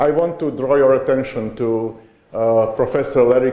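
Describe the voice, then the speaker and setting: A man speaks at a medium pitch with fairly even intonation, with noticeable background noise and audible room echo. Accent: non-native. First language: not English. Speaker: conference speaker on education. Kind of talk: conference talk. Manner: halting, with hesitations.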